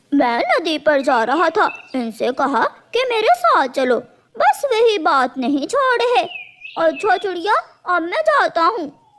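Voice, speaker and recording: In a cartoonish character voice, the speaker talks at a fairly slow pace with an extremely high pitch and very wide pitch swings. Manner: smooth, cajoling.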